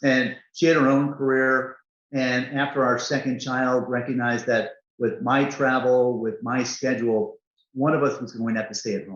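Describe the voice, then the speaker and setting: At a moderate pace, a man talks in an unremarkable speaking voice of medium pitch with ordinary pitch variation. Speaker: corporate CEO. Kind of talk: interview answer.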